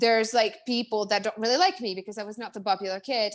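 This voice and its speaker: In a Czech accent, a woman talks at a very fast pace with an animated tone. The recording is very clean, with a silent background. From Czech Republic. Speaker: business coach. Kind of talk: interview. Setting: Facebook live stream. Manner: fast, animated.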